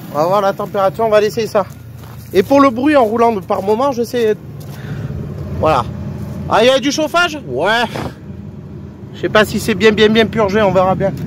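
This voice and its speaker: With long, frequent pauses at a moderate pace, a man speaks in a high pitch and lively intonation over noticeable background noise. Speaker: car DIY youtuber. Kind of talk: casual tutorial vlog. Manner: loud; casual, hesitant.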